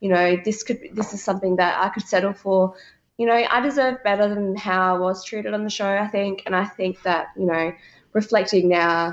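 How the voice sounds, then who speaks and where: Speaking at a moderate pace with an Australian accent, a woman keeps a medium pitch and fairly even intonation. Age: 20s. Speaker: reality TV contestant. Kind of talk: interview.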